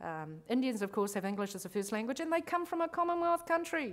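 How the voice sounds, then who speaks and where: In a New Zealand accent, a woman speaks with very wide pitch swings. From grew up in New Zealand, born abroad. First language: not English. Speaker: lawyer and conference speaker. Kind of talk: conference talk. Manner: casual, conversational.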